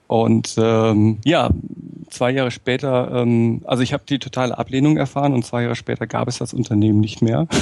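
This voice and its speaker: Here a man speaks with a dark, mellow tone at a medium pitch. His intonation is fairly even and his pace moderate. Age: 40s. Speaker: management trainer and consultant. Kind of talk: interview. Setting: remote call.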